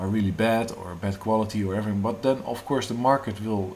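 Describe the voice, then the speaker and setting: There's audible room echo around a man with a fairly low pitch. His voice is somewhat breathy, with fairly even intonation. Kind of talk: monologue on economics. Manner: halting, many fillers.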